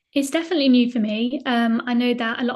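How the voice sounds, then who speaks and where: Speaking at a very fast pace, a woman sounds somewhat breathy and holds a monotone, flat intonation. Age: 20s. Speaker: video producer, trading community member. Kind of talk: interview. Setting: call. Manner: hesitant, frequent ums.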